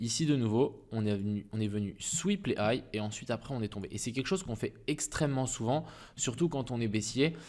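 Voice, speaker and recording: A man's voice of medium pitch with ordinary pitch variation. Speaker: crypto trading YouTuber. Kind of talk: market analysis tutorial. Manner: fast; casual, hesitant with fillers.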